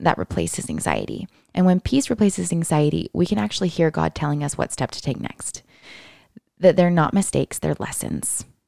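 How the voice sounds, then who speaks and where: With an American accent, a woman talks at a fairly quick pace in a dry, close sound with no echo. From US Pacific Northwest, Seattle area. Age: 20s. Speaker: single mother sharing faith experience. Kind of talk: casual chat.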